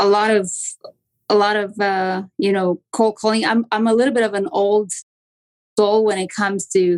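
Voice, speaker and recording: At a moderate pace, a woman with a strong Romanian accent speaks at medium pitch with long, frequent pauses, in a dry, close sound with no echo. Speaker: real estate agent. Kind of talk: podcast interview.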